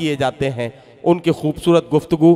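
Ordinary pitch variation at a fairly slow pace. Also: man. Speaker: mushaira host. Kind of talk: stage compering with jokes. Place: stage. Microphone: podium.

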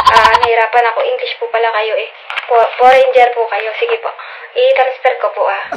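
A woman talks at a fairly quick pace. Loud background noise fills the recording. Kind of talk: acted phone call, customer service talk. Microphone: headset.

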